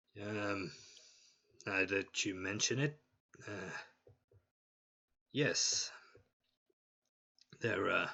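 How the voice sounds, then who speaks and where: A man speaks in a put-on character voice, raspy and fairly low in pitch. His pace is very slow, with long, frequent pauses. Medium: actual play. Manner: hesitant, halting, full of pauses.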